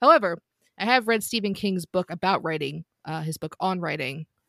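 The speech moves at a fairly quick pace with ordinary pitch variation, captured as a dry, close sound with no echo on a very clean recording with a silent background. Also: woman. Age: 30s. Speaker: trivia podcast host. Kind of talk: casual panel debate. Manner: hesitant with filler words.

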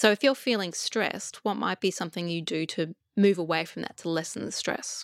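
On a very clean, dry, close recording with no echo and a silent background, a woman with an Australian accent speaks fairly quickly at a fairly low pitch with ordinary pitch variation. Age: 40s. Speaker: psychologist and coach. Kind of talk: interview.

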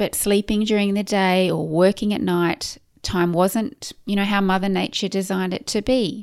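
A woman with an Australian accent speaks fairly slowly at a medium pitch. Her intonation is fairly even, and the recording is very clean with a silent background. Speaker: podcast host, clinical nutritionist. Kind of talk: solo podcast monologue.

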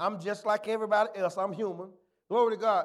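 An animated tone at a fairly quick pace. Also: man. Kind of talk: sermon. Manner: animated call-and-response preacher, punctuating with "glory to God" and "amen"; colloquial and folksy, with humorous asides and repetition for emphasis.

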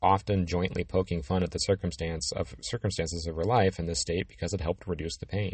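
This man's pitch is very deep and low. He talks very fast, somewhat breathily. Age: 50s. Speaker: physical therapist podcaster. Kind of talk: educational monologue.

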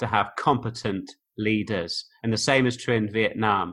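Over a very clean recording with a silent background, a man speaks fairly slowly at a medium pitch, his tone bright and sharp and his pitch variation ordinary. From Oxfordshire, England. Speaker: online course creator, former philosophy teacher. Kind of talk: casual interview conversation. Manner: articulate, reflective.

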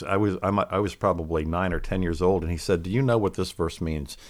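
A man speaks with an American accent in an unremarkable speaking voice, pitched fairly low. His pitch varies in an ordinary way, and the very clean recording has a silent background. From Pennsylvania, Lancaster County. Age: 60s. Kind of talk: podcast interview.

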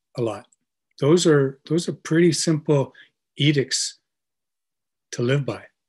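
The speech moves at a fairly slow pace with long, frequent pauses, a somewhat breathy sound and ordinary pitch variation. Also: man, fairly high pitch for a man. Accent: Canadian. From Canada. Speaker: brewery co-founder and writer. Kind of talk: casual chat.

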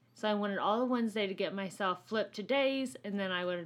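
A woman with an unremarkable speaking voice talks at a fairly quick pace and medium pitch. Her pitch varies in an ordinary way over a very clean recording with a silent background. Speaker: nurse and podcast co-host. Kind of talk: casual chat. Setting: home studio.

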